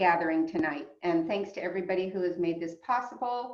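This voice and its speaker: A woman with a fairly low pitch talks in an unremarkable speaking voice. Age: 60s. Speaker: public health officer. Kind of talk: public talk.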